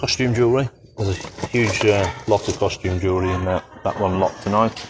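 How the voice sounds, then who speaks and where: A man speaks with a fairly low pitch and fairly even intonation. Noticeable background noise runs underneath. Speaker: auctioneer. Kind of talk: auction lot walkthrough, casual talk.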